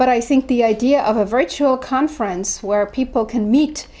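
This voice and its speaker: A moderate pace with ordinary pitch variation, in a German accent. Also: woman. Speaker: professor. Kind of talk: interview talk about research. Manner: halting, many fillers.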